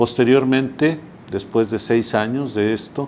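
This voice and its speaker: Ordinary pitch variation runs through this man's speech. The pace is fairly slow. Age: 60s. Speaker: heart patient. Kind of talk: testimony.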